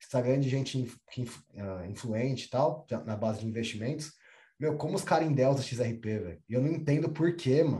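A man with a dark, mellow tone and a somewhat breathy voice speaks at medium pitch and a moderate pace with ordinary pitch variation. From São Paulo, Brazil. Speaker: podcast host. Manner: animated, slangy.

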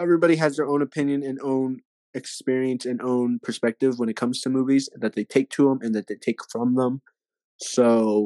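In a dry, close sound with no echo, a man of medium pitch with an American accent and a dark, mellow tone talks at a fairly quick pace. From Texas. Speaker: podcast co-host and actor. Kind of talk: casual chat. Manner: halting, many fillers.

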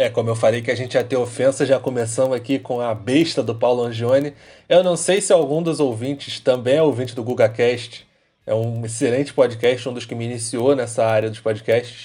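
In a very clean recording with a silent background, a man with a normal speaking voice talks at a moderate pace and medium pitch, with ordinary pitch variation. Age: 20s. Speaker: football fan podcast co-host. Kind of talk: casual chat.

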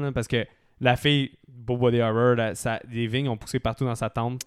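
A man speaks with a Quebec accent at a medium pitch. His pace is moderate and his pitch variation ordinary. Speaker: podcast host. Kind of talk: casual chat.

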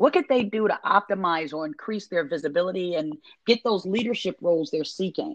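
A woman with a plain, everyday voice speaks at a medium pitch and a fairly quick pace, with lively intonation. The sound is dry and close with no echo, against a quiet background. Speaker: podcast host. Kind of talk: interview, casual chat.

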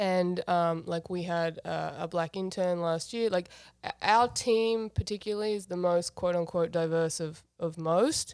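In a very clean recording with a silent background, a woman with an Australian accent speaks at a fairly low pitch and a fairly slow pace, with hardly any pauses. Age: 30s. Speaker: podcast guest. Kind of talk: casual chat.

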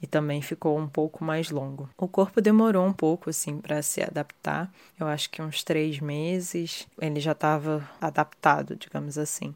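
On a very clean recording with a silent background, a woman with a very deep, low pitch speaks at a moderate pace in fairly even intonation with hardly any pauses. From Rio de Janeiro, Brazil. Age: 30s. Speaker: listener sharing experience. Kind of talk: testimony.

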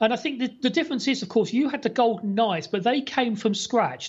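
The voice belongs to a man. An English accent marks his speech. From England. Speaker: former sports TV presenter, fan blogger. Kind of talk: casual chat.

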